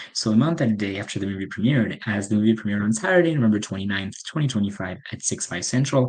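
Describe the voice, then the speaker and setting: A man with a French accent talks at a very fast pace in a fairly low pitch. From France. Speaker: podcast host, film reviewer. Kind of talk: casual solo review podcast. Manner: hesitant, filler-heavy (um, uh).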